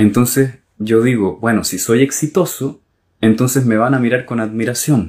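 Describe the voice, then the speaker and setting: On a very clean recording with a silent background, a man speaks at a moderate pace in an unremarkable speaking voice with ordinary pitch variation. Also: medium pitch for a man. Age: 40s. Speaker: gestalt therapist and podcast host. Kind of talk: solo monologue talk.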